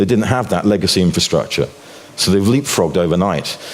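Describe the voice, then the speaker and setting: Lively intonation marks this man's speech over noticeable background noise. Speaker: financial commentator and author. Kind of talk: conference talk. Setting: stage with audience.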